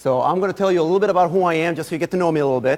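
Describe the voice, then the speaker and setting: A man with an Israeli accent and ordinary pitch variation. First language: Hebrew. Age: 30s. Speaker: guest lecturer. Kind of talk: lecture.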